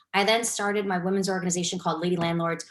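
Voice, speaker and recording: A woman speaks in a New York accent at medium pitch. Her intonation stays fairly even. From New York City. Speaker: real estate investor and cancer researcher. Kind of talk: webinar presentation. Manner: fast.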